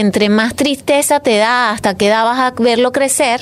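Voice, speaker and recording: This woman speaks with a Venezuelan accent, her fairly high pitch held in a fairly even intonation. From Venezuela, Caracas. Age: 40s. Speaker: photographer. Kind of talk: casual chat.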